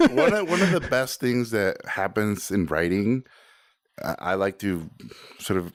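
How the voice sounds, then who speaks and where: Over a very clean recording with a silent background, a man with a Spanish accent speaks at a moderate pace and fairly low pitch, his intonation lively. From Mexico, Tijuana. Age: 40s. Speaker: animator and director. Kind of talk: casual interview. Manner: animated.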